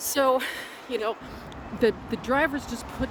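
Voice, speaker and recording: A woman speaks with a Canadian accent. Background noise is noticeable behind her. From Vancouver, Canada. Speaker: vlogger and blogger. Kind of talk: unscripted walking vlog. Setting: outdoors on a bridge. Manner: casual, many fillers.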